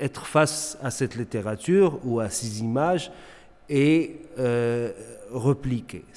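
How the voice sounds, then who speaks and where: There is noticeable background noise behind the speech. A man talks with ordinary pitch variation. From Morocco, Tangier. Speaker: visual artist. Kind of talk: interview. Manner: halting, many repetitions and fillers.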